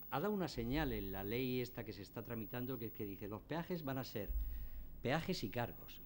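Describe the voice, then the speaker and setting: This man talks with audible room echo in the recording. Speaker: energy company executive. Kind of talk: conference talk. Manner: drops word endings.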